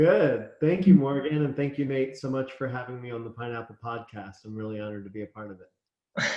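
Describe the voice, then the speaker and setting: A man with a Philadelphia accent at a medium pitch, talking at a fairly quick pace with hardly any pauses, ordinary pitch variation and big swings in loudness. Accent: American, Philadelphia. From US, Philadelphia (born in Israel). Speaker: chef and restaurant owner. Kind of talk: interview.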